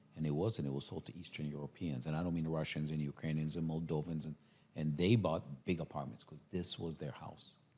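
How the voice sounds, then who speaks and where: A man's very deep, low voice with a dark, mellow tone, fairly quick pace and fairly even intonation. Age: 60s. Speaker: architect. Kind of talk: podcast interview.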